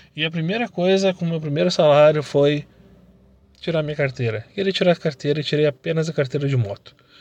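Quiet background behind a man with an unremarkable speaking voice, fairly high in pitch, at a fairly quick pace. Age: 30s. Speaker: entrepreneur and motivational podcaster. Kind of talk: motivational monologue.

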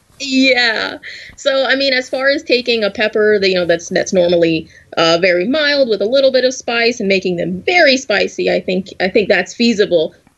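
With an American accent, a woman speaks at a moderate pace in a fairly high pitch with lively intonation over noticeable background noise. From US South. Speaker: graduate student in food science. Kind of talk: casual chat. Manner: halting, many fillers.

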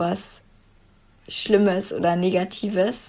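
Somewhat breathy and at a medium pitch, a woman talks with fairly even intonation. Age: 20s. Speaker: former coaching client. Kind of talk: interview.

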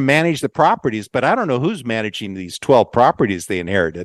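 Very fast and full of very wide pitch swings, a man with an American accent speaks with vocal fry in a dry, close, echo-free, very clean recording with a silent background. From Southern California, Long Beach. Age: 60s. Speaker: family member interviewee. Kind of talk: casual interview.

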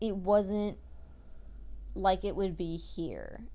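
A woman speaks at a very slow pace. Audible echo from the room surrounds her voice. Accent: American. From Oregon, Pacific Northwest. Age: 20s. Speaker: podcast host. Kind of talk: casual monologue. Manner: rambling with frequent fillers.

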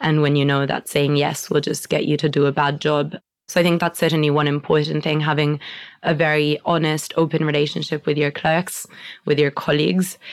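A woman with an Italian accent, very deep and low in pitch, flat and monotone at a moderate pace, in a very clean recording with a silent background. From Italy. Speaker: barrister. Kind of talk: interview.

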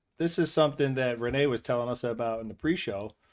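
This voice belongs to a man. The rise and fall of his pitch is ordinary. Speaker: podcast co-host. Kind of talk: casual chat.

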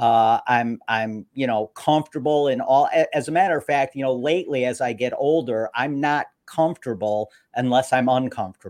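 This man talks at a moderate pace with an American accent, his medium-pitched voice showing ordinary pitch variation in a dry, close sound with no echo. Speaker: radio host. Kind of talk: interview. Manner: animated.

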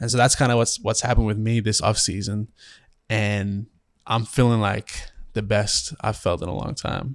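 At a moderate pace, a man with an Australian accent speaks in a fairly low voice with fairly even intonation. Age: 20s. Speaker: professional basketball player. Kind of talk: casual chat.

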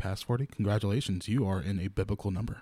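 In a very clean recording with a silent background, a man with an American accent speaks at a very fast pace, somewhat breathy, with a dark, mellow tone and a fairly low pitch. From Louisiana. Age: 20s. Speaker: podcast co-host, church youth singer. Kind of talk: casual chat. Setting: studio.

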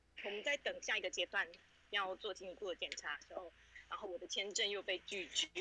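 A woman with a fairly high pitch and a bright, sharp tone talks at a fairly quick pace with lively intonation. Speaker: parent sharing life story. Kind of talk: personal testimony. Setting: outdoors walking home.

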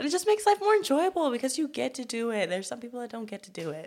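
Using vocal fry, a woman with an American accent speaks with very wide pitch swings. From Los Angeles area, California. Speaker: university student. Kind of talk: casual chat.

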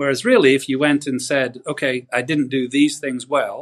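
This man talks at a fairly quick pace with a northern English accent. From northwest England. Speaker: golf coach. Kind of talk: interview.

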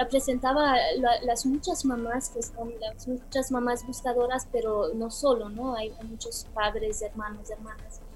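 A woman's high-pitched voice in a Romanian accent, fairly slow, fairly even in intonation, with hardly any pauses, over noticeable background noise. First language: Romanian (speaking Spanish). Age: 40s. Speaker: film director. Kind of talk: interview. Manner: halting.

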